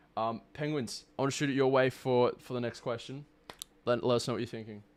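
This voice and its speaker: A man with an Australian accent talks at a fairly quick pace in a medium pitch. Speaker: streamer and tournament host. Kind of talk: live stream post-game interview. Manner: loud; animated.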